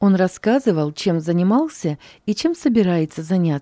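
Lively intonation in an unforced reading voice.

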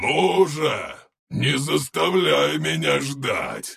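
A man growls out his words in a raspy, put-on character voice. He goes at a very slow pace. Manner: growling, demanding, mocking.

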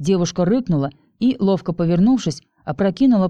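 Plain reading aloud plays out over a quiet background.

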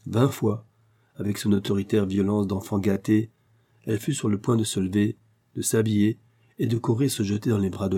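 What we hear is a natural reading voice.

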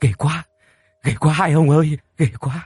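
In a shaky, put-on character voice, a man talks at a fairly high pitch. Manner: trembling, fearful.

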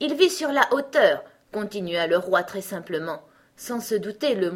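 A passage read aloud in a natural voice

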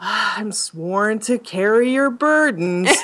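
A female-sounding voice speaks very slowly at a fairly high pitch for a woman. It is a put-on character voice. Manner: stoic, dutiful.

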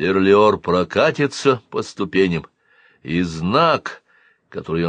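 Over a quiet background, the speaker is reading aloud in a natural voice with lively intonation.

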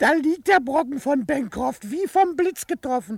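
In a put-on character voice pitched extremely high, a man speaks with lively intonation and vocal fry. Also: moderate pace.

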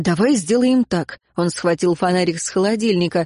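Set against a quiet background, the reading voice is unforced.

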